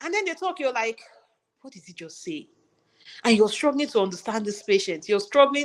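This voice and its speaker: A woman with a Nigerian accent, fairly high in pitch and fairly quick, with long, frequent pauses and big swings in loudness. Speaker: registered nurse. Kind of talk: interview conversation.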